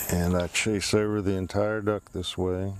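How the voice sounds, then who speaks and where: Speaking in an American accent, a man uses a fairly low pitch and monotone, flat intonation. His pace is fairly slow. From Washington, D.C. area, US. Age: 60s. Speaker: woodcarver, paralyzed man. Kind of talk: personal interview testimony. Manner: halting, with repetitions.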